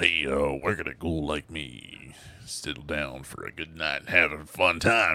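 Using a put-on character voice, a man speaks fairly slowly in a raspy, very deep, low pitch. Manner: sleazy.

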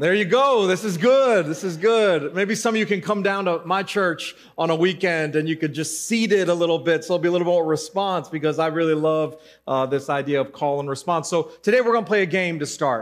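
A man talks with a high pitch and ordinary pitch variation. The background is quiet. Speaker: pastor. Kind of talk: sermon.

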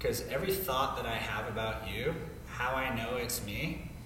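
Noticeable background noise behind a man with an American accent, moving at a moderate pace. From Colorado, US. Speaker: gym owner and personal trainer. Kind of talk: casual interview conversation. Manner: animated.

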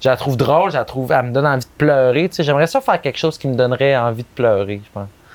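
Talking very fast with hardly any pauses, a man's voice swings widely in loudness. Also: medium pitch for a man, ordinary pitch variation. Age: 30s. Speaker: advertising copywriter. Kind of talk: casual chat. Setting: outdoors.

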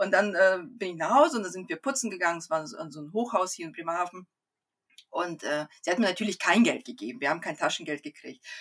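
Very fast speech comes from a woman with a fairly low pitch and lively intonation. Her loudness swings widely. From Kazakhstan, came to Germany at eight. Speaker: Human Design coach, mother of four. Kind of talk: casual interview.

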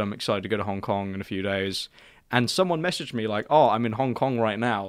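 A man with a British accent speaks at a very fast pace and medium pitch on a very clean recording with a silent background. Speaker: podcast host. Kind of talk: casual chat.

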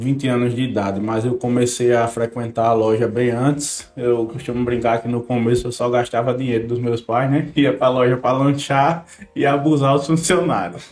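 Noticeable background noise sits behind a man speaking at a moderate pace. His intonation is fairly even, with hardly any pauses. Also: medium pitch for a man. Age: 20s. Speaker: family business manager, engineer. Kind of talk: casual chat.

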